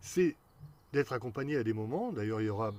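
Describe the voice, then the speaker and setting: This man's delivery is fairly quick, with lively intonation throughout. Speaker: hypnotherapist. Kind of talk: Q&A video talk. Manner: fast.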